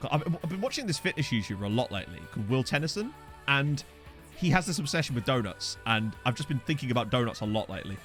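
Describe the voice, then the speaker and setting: Over music in the background, a man with an Essex accent and medium pitch races along at a very fast pace with very wide pitch swings. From Essex, England. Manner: drops parts of words.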